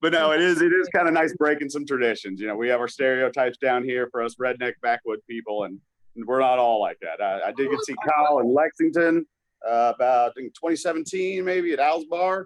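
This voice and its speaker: The sound is dry and close with no echo as a man speaks at a fairly quick pace, fairly high in pitch, with lively intonation. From Kentucky. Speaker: caller. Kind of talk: casual chat. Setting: video call. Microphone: poor audio.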